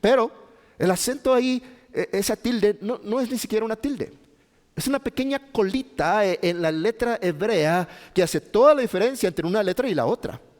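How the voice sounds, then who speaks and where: With a northern Mexican accent, a man speaks at a high pitch and moderate pace, his very wide pitch swings caught in a dry, close sound with no echo. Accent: northern Mexican (Chihuahua). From Mexico, Chihuahua. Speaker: pastor. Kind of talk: sermon. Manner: halting.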